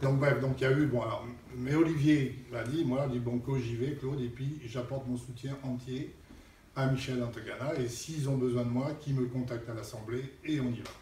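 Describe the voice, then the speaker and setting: Over noticeable background noise and audible room echo, a man speaks in a flat monotone at a moderate pace. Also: medium pitch for a man. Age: 60s. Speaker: local official speaking at a support meeting. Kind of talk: public talk at a meeting. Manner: blunt, informal.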